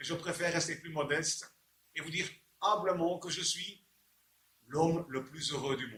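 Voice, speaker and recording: With long, frequent pauses, a man talks at a moderate pace in a high pitch, his pitch varying in an ordinary way. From Belgium. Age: 60s. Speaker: inventor selling his product. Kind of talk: sales pitch. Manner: halting, with repeated words.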